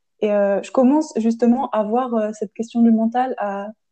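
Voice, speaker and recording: In a normal speaking voice, a woman speaks at a moderate pace with a fairly high pitch and fairly even intonation. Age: 20s. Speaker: podcast host, chemistry engineering student. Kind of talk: casual chat.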